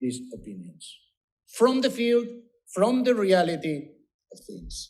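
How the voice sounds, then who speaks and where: With audible room echo around him, a man with a Spanish accent speaks using very wide pitch swings. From Spain. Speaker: politician. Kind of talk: conference speech. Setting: conference panel.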